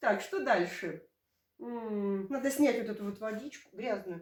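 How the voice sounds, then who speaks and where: Lively intonation marks a woman's animated tone. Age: 50s. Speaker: village lifestyle vlogger. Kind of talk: product demonstration vlog.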